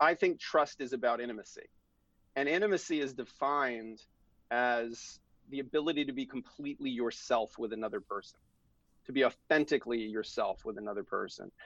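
Speaking at a fairly quick pace, a man with an unremarkable speaking voice uses a medium pitch and ordinary pitch variation. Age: 40s. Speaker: divorce lawyer. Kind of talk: interview.

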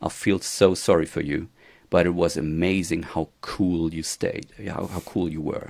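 Very deep and low, a man's voice moves at a fairly slow pace with fairly even intonation. The recording is very clean, the background silent. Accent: German. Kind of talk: casual interview chat. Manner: halting.

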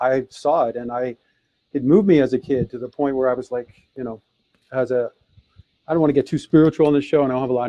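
Heard here is a plain, everyday voice with an American accent and fairly even intonation. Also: man. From US Midwest, Detroit. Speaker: author and speaker. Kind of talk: interview.

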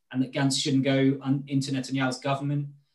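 At a very fast pace, a man with a fairly high pitch sounds somewhat breathy. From Britain. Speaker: political advisor and spokesperson. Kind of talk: interview.

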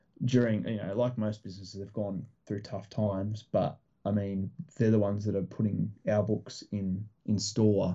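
A man with an Australian accent and a fairly low-pitched voice. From Australia, rural Victoria. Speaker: comic book creator and publisher. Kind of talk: casual interview chat. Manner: hesitant, many fillers.

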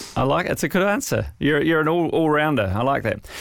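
Speaking with lively intonation, the man has an unremarkable speaking voice. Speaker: podcast host. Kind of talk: interview, scripted intro and outro.

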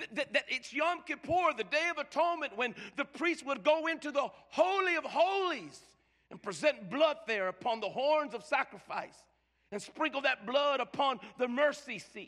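With an animated tone and lively intonation, a man speaks at an extremely high pitch and a moderate pace, with big swings in loudness. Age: 50s. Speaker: pastor. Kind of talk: sermon. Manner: stammering repetitions.

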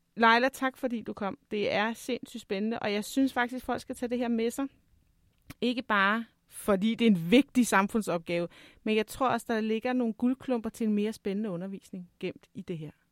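It is an unremarkable speaking voice: a woman, fairly high in pitch with ordinary pitch variation, at a moderate pace, sounding dry and close with no echo on a very clean recording with a silent background. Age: 40s. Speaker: podcast host and teacher. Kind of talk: interview.

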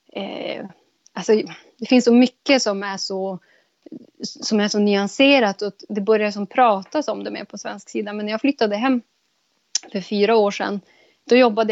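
At a moderate pace, a woman with a plain, everyday voice speaks at a fairly high pitch. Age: 30s. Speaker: podcast guest. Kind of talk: casual conversation.

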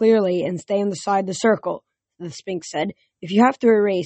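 An unforced reading voice with fairly even intonation plays over a quiet background.

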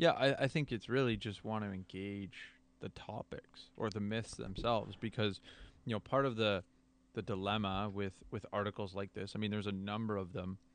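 This man has a normal speaking voice, pitched fairly low. His intonation stays fairly even at a moderate pace. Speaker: podcast co-host. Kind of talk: casual conversation. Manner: conversational, casual.

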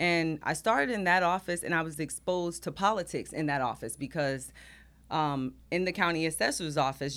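In a plain, everyday voice, a woman with an American accent talks at a fairly quick pace and fairly low pitch with ordinary pitch variation, recorded very cleanly against a silent background. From New Jersey, East Orange. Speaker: school district finance chief, former city clerk. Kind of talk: casual interview.

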